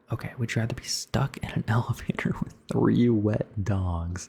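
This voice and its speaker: Whispering at a fairly slow pace, a man sounds soft-spoken and somewhat breathy. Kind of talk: ASMR rambling, answering questions. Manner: whispered and soft-spoken, switching.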